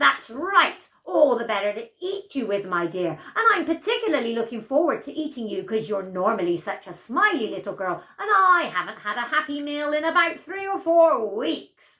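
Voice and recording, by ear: A woman's put-on character voice, high-pitched with big pitch swings and a bright, sharp tone, at a moderate pace with few pauses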